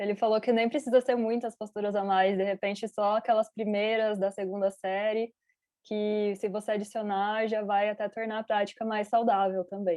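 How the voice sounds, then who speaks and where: A woman speaks very fast in a Brazilian accent. Her fairly high voice stays monotone and flat. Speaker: interpreter. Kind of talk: interpreting.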